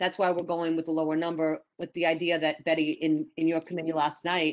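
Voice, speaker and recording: A woman's very deep, low voice. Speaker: community board committee chair. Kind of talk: public meeting chairing. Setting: video call. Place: home room. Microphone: video call.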